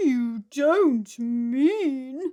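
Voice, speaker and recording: A female-sounding voice uses a put-on character voice with a high pitch. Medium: read story.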